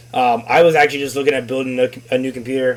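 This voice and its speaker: A man talks at a very fast pace in a medium pitch. Noticeable background noise runs under his speech. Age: 30s. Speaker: podcast host. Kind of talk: casual chat.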